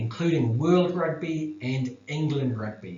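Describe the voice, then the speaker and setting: A man with a New Zealand accent speaks in a fairly high voice. His intonation is lively, and the room echo is audible. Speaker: academic researcher. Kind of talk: lecture. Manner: halting.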